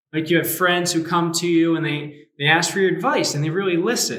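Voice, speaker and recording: There is audible room echo around a man whose high-pitched voice carries an animated tone. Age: 30s. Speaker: youth pastor. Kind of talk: sermon.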